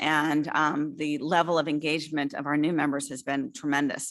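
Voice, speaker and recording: A woman's bright, sharp tone with fairly even intonation, quiet background. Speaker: association executive director. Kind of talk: annual meeting report. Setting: live-streamed hybrid meeting. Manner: fast.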